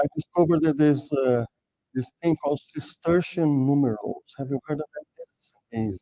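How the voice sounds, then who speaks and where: A man talks at a moderate pace in a fairly high pitch, with a dark, mellow tone and ordinary pitch variation. The sound is dry and close, with no echo. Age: 60s. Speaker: programming author and speaker. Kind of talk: technical talk. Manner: halting, many fillers and repeats.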